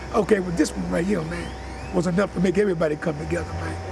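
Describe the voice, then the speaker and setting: Noticeable background noise accompanies a man speaking at a very fast pace. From Galveston, Texas. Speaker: hurricane survivor. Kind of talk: street interview.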